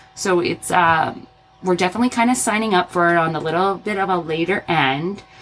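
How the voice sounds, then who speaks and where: A woman with an American accent talks at a fairly quick pace and a fairly low pitch, with ordinary pitch variation. Noticeable background noise runs beneath her. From Arizona. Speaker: occupational therapist and podcast host. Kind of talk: casual chat.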